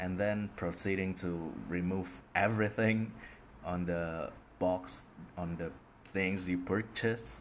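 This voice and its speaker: A man talks in an Indonesian accent. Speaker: podcaster. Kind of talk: casual monologue. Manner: hesitant, many fillers.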